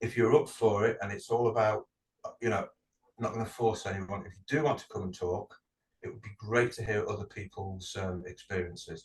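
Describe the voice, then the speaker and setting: A somewhat breathy, fairly low-pitched man's voice with a British accent and fairly even intonation. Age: 40s. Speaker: podcast co-host. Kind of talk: casual chat. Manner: slow; halting, many fillers.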